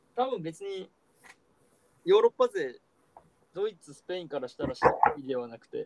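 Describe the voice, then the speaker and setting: A man's high voice with very wide pitch swings, big swings in loudness, a moderate pace and long, frequent pauses, in a dry, close sound with no echo. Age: 20s. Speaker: podcast co-host. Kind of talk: casual chat.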